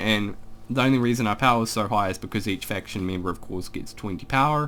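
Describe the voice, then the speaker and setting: A man with a New Zealand accent and lively intonation. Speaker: gaming YouTuber. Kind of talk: casual gameplay commentary. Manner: casual, rambling with fillers.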